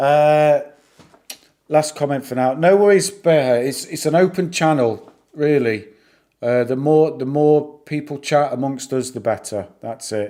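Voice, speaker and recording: Speaking at a fairly slow pace with a northern English accent, a man has a fairly high pitch, ordinary pitch variation and a dark, mellow tone. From northern England. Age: 40s. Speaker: YouTuber discussing stocks. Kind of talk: live stream chat. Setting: live stream. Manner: halting, many repeats and fillers.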